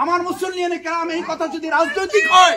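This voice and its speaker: A raised, projected voice, shouting. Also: man. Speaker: Islamic preacher. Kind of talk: sermon. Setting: outdoor Eid prayer ground with congregation. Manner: loud, shouting; fiery, impassioned. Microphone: speaking without a microphone.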